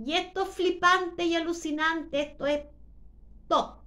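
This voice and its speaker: At a fairly slow pace, a woman speaks with an extremely high pitch. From Chile. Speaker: YouTuber. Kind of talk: monologue. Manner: deliberately slowed.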